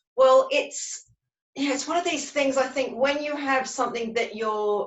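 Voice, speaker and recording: A woman with a high pitch and an Australian accent, at a moderate pace with ordinary pitch variation. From Australia, Sydney. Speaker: colour psychology practitioner. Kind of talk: webinar interview.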